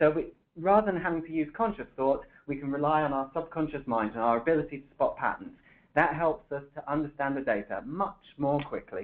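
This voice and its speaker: A man with a British accent, fairly high-pitched, at a fairly quick pace with ordinary pitch variation. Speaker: software developer presenting a webinar. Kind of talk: webinar presentation.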